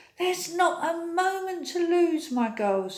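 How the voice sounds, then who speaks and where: In a put-on character voice, a woman speaks extremely high and squeaky, with a warm tone and lively intonation. Her pace is fairly slow. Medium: read story. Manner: warm, homely.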